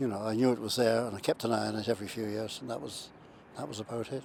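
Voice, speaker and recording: A man talks at a very fast pace. He speaks with a Limerick accent. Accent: Irish (Limerick). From Ireland, County Limerick. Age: 70s. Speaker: heart patient. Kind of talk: testimony. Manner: halting, many fillers and repetitions.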